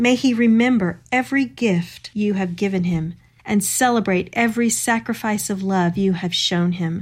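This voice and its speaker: A woman's somewhat breathy voice at medium pitch, with ordinary pitch variation and a moderate pace, on a very clean recording with a silent background. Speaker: co-host Bible teacher. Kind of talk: devotional Bible study discussion.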